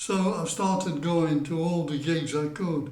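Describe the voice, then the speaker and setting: Fairly high in pitch, a man speaks at a very slow pace. Room echo is audible. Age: 70s. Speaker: music fan telling memories. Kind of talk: storytelling to camera. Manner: hesitant, many fillers.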